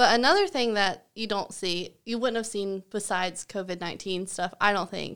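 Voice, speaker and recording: Recorded very cleanly against a silent background, a woman speaks with a Southern US accent. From US South. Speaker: podcast co-host, former art teacher. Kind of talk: casual chat.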